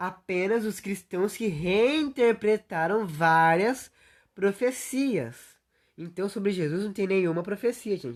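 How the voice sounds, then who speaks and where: Over a quiet background, a woman talks at a very slow pace in a medium pitch, with lively intonation. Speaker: youtuber. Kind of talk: livestream monologue. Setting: solo livestream.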